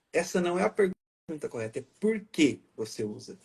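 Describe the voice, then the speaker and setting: A man speaks with a high pitch and a dark, mellow tone. His pitch swings very widely. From Paraná, Brazil (raised in Maringá). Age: 30s. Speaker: photographer. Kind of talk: interview. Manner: soft-spoken.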